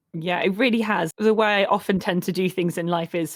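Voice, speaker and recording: A woman talks at a moderate pace in an ordinary speaking voice. Her pitch sits in the medium range with ordinary variation. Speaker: podcast host. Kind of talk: casual chat.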